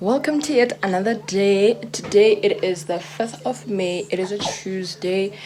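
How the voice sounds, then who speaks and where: Noticeable background noise sits behind a woman with a medium pitch. She talks at a very slow pace with lively intonation. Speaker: vlogger. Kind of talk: casual vlog chat. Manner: whispering.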